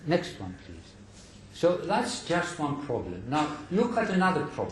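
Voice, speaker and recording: A man talks at a moderate pace with a high pitch, lively intonation and big swings in loudness. The recording carries audible room echo and noticeable background noise. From Greece. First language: Greek. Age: 70s. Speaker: scholar lecturer. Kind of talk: lecture.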